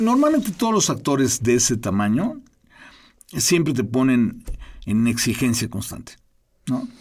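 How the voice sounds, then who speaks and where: With long, frequent pauses, a man speaks at a fairly slow pace. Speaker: film director. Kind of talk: interview. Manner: halting, repeats words.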